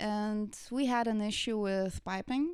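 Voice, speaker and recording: A woman's fairly high voice with a Lithuanian accent at a very slow pace, in a very clean recording with a silent background. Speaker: content creator. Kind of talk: casual interview.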